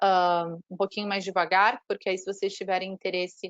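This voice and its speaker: A woman has an unremarkable speaking voice. She talks at a moderate pace and a medium pitch. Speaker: university marketing representative. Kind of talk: online presentation.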